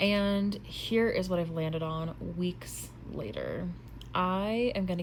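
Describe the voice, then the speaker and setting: Audible room echo surrounds a woman as she speaks. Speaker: book vlogger. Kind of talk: casual vlog talk to camera. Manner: animated.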